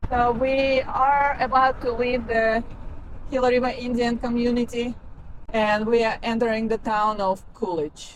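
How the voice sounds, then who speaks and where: With a Kazakh accent, a woman talks at a fairly slow pace and fairly high pitch against noticeable background noise. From Kazakhstan. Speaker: travel vlogger. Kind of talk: travel vlog narration. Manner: hesitant, many fillers.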